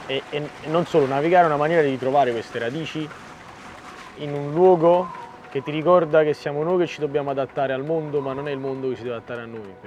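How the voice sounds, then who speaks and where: Over noticeable background noise, a man with a fairly high pitch talks very fast, his intonation fairly even. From Naples, Italy. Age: 30s. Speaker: sailboat skipper. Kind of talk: documentary interview. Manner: reflective, with hesitations.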